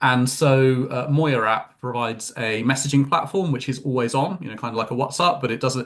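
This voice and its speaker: Using a fairly quick pace, a man with a British accent speaks at medium pitch with fairly even intonation. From UK. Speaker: tech company executive. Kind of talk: interview. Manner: hesitant, many fillers.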